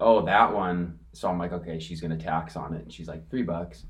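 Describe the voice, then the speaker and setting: Against audible room echo, a man with an American accent speaks at very deep, low pitch with ordinary pitch variation. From California (Corona). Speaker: vintage clothing reseller. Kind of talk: casual chat.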